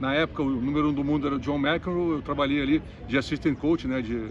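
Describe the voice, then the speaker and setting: A man with a fairly high pitch, talking at a very fast pace. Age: 60s. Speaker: tennis commentator and coach. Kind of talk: interview.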